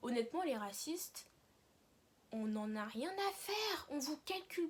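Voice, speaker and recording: A woman's voice with very wide pitch swings. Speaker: YouTuber. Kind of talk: casual vlog monologue. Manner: fast.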